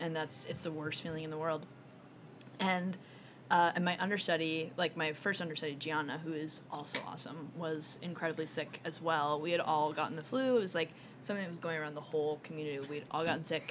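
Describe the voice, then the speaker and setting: Very fast speech with fairly even intonation amid noticeable background noise. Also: woman, very deep, low pitch for a woman. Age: 20s. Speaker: musical theatre actress. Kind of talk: casual chat.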